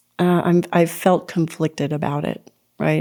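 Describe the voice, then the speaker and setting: A woman speaks with a dark, mellow tone. Her intonation is monotone and flat. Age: 60s. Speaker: podcast host. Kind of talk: monologue podcast. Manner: conversational, with fillers.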